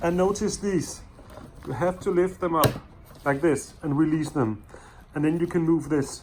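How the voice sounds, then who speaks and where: A man with a non-native accent and a fairly high pitch talks at very even loudness over noticeable background noise. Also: ordinary pitch variation, moderate pace. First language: not English. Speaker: DIY car repair video maker. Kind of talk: tutorial. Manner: halting, many fillers.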